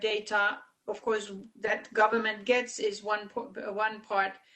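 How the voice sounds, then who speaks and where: A woman's fairly high, monotone, flat voice at a fairly slow pace. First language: Finnish. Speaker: conference chair. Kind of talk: conference meeting discussion. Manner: halting, many fillers.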